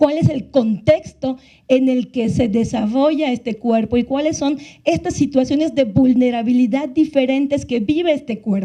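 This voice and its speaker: Her voice is high-pitched for a woman, with a dark, mellow tone and ordinary pitch variation. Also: moderate pace. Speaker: panelist from a women's justice NGO. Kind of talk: panel talk.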